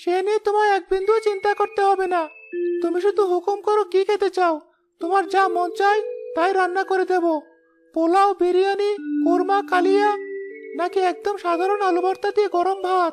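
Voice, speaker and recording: With music in the background, a cartoonish character voice at an extremely high pitch moves at a moderate pace in a flat monotone. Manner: warm, gentle, self-assured.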